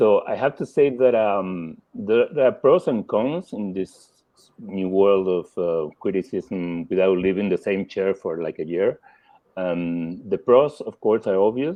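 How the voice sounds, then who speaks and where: At a fairly slow pace, a man with a Spanish accent speaks in a fairly low voice with ordinary pitch variation. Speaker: film critic. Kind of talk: panel discussion. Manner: halting.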